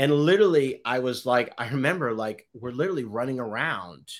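In a Boston accent, the speaker talks at a moderate pace with ordinary pitch variation, in a very clean recording with a silent background. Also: man. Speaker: photographer. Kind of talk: casual chat. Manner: halting.

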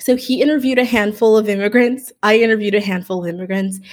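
Speech in an American accent rushes by at a very fast pace. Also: woman. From Miami, Florida. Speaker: voiceover artist and communication professor. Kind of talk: interview.

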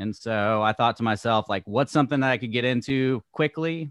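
With a medium pitch and an American accent, a man speaks in a normal speaking voice at a moderate pace with ordinary pitch variation, the sound dry and close with no echo over a quiet background. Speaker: podcast host and realtor. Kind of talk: casual interview chat.

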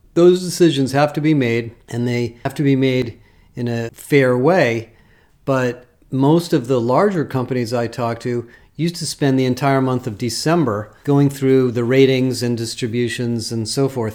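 This man has a normal speaking voice, medium in pitch, with an American accent, ordinary pitch variation and a moderate pace. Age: 60s. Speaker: HR industry analyst. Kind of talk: solo commentary. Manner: casual.

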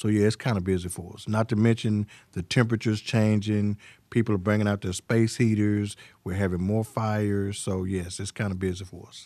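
Over a quiet background, a man with a Southern US accent talks at a fairly quick pace in a fairly low pitch, with monotone, flat intonation. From Arkansas (Pine Bluff). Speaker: fire chief. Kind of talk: interview on fire safety.

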